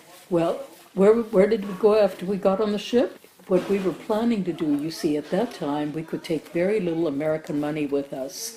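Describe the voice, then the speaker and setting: A woman at a fairly quick pace, medium pitch and ordinary pitch variation, with noticeable background noise. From Germany. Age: 80s+. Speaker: Holocaust survivor. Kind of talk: interview answer.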